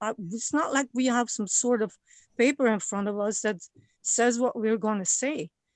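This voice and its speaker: Her pitch is fairly high, and the woman speaks with a non-native accent. The sound is dry and close with no echo, over a quiet background. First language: not English. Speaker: member of the public giving comment. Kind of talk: public comment at a government meeting. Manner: halting, many repeated words.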